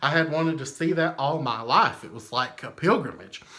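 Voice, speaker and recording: A man with a Southern US accent, a fairly high pitch and a bright, sharp tone, at a moderate pace. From US South. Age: 30s. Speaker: memorabilia collector. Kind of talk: casual storytelling. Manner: animated.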